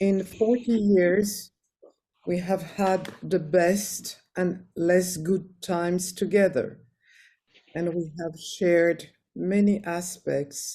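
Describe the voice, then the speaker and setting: With a French accent, a woman of medium pitch speaks very slowly in a dark, mellow, somewhat breathy tone. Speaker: friend giving a eulogy. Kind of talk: memorial tribute.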